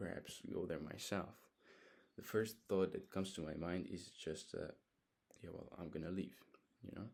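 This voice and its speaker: A man speaks with a very deep, low pitch and fairly even intonation. His moderate pace is broken by long, frequent pauses. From Hungary. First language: Hungarian. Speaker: vlogger. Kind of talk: casual monologue. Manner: halting.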